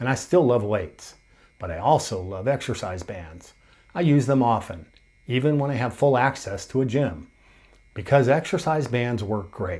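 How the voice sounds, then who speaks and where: With lively intonation, this somewhat breathy voice moves at a moderate pace. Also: man. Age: 60s. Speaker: fitness coach. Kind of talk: workout tutorial. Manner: motivational.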